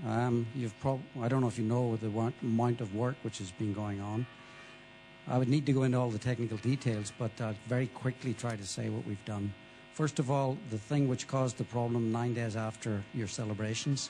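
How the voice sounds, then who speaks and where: A man speaks at a moderate pace with fairly even intonation. Music plays in the background. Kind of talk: interview answer. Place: hall. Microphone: handheld.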